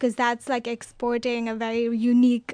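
A woman's fairly high voice in monotone, flat intonation at a moderate pace, with a dry, close sound, no echo and a quiet background. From India. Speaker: graduate student. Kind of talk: panel discussion.

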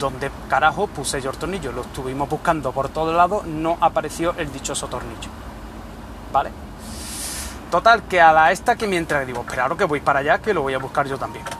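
Noticeable background noise sits behind this man. He talks at a fairly quick pace and a fairly high pitch. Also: ordinary pitch variation. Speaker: podcaster. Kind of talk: casual monologue. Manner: animated.

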